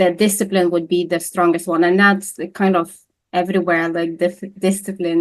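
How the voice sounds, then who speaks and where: In a normal speaking voice, a woman talks at a moderate pace over a quiet background. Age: 40s. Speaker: nutritional therapist and bodybuilder. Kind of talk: interview conversation.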